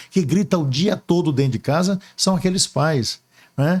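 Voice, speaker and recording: The voice is somewhat breathy with ordinary pitch variation, captured in a very clean recording with a silent background. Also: man. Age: 60s. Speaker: archbishop. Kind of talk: interview. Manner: hesitant fillers.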